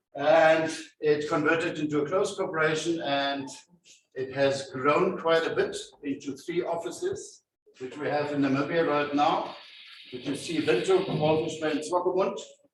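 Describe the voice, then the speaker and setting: A man's fairly high voice at a moderate pace with fairly even intonation, audible room echo and music in the background. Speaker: company CEO giving a career talk. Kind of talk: presentation to school students. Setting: school hall with student audience, no mic. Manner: loud.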